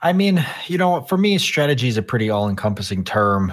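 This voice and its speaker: A man keeps a moderate pace on a very clean recording with a silent background. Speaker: content creator. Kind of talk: casual interview chat.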